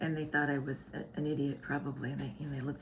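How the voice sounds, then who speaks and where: A woman talks very fast in a very deep, low pitch with vocal fry. Room echo is audible. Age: 60s. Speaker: wellness channel co-host. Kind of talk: casual chat.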